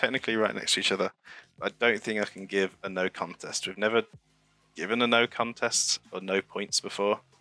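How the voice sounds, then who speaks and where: A man speaks at a fairly quick pace with a fairly low pitch. Music plays in the background. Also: dry, close sound with no echo. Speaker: streamer and race commentator. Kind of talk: live commentary. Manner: calm, relaxed; even, not hyped.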